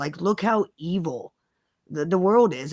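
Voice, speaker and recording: Lively in intonation, a woman with an ordinary speaking voice talks at a medium pitch in a very clean recording with a silent background. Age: 40s. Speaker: live stream co-host on grief. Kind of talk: casual chat.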